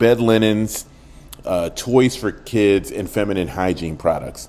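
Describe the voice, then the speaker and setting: Dark and mellow in tone, a man speaks at a fairly slow pace with ordinary pitch variation. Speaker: podcast host, storyteller. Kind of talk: personal storytelling. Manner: loud.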